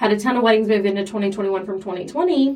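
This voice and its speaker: Using a normal speaking voice, this woman has a mid-range pitch that rises and falls in an ordinary way. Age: 30s. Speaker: photographer and podcast co-host, former therapist. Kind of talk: casual chat.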